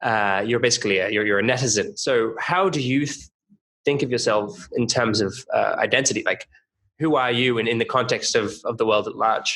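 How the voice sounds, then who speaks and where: A man speaks at a moderate pace with an Australian accent. His pitch is medium with ordinary variation, and his tone is bright and sharp. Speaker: podcast host. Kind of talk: podcast interview.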